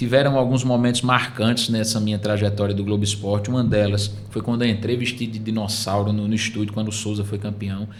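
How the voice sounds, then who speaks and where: With a northeastern Brazilian accent, a man speaks in a fairly low pitch at a fairly quick pace with hardly any pauses, and audible room echo surrounds his voice. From Northeast Brazil, Paraíba (Surubim). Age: 30s. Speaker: sports TV presenter. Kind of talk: podcast interview. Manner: animated.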